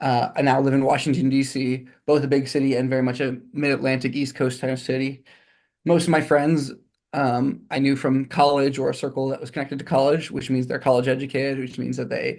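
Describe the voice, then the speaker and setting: A man with an American accent speaks at a fairly quick pace. His medium-pitched voice stays monotone, with flat intonation. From Texas, Houston. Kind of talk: interview. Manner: fast; halting.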